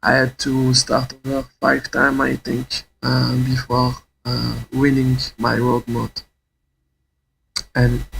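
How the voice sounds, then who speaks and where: Speaking at a very slow pace, a man has a non-native accent. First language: not English. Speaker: gaming YouTuber. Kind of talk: tutorial. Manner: halting.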